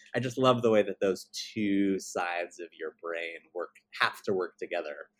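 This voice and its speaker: A man with an American accent, fairly low in pitch, at a moderate pace, with a dry, close sound and no echo. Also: big swings in loudness. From Baltimore, Maryland. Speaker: musical theater composer. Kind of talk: interview. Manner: halting.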